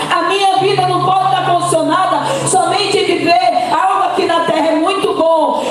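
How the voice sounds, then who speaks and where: Someone is shouting at a moderate pace amid noticeable background noise and audible room echo. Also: woman. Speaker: pastor. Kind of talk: sermon. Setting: church. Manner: loud, shouting; animated.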